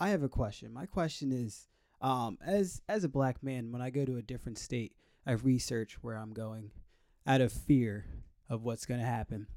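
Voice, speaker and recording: Dark and mellow in tone, the voice moves at a moderate pace with ordinary pitch variation over a very clean recording and a silent background. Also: man, medium pitch for a man. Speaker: dancer. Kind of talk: panel discussion. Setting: stage with audience.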